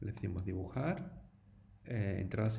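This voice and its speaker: Audible room echo around a male voice with ordinary pitch variation. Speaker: teacher. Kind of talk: tutorial. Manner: casual, conversational with fillers.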